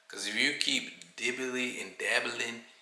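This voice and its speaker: Speaking at a very slow pace, a man is heard over noticeable background noise with audible room echo. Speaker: vlogger. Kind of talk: casual vlog monologue. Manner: monotone; mellow.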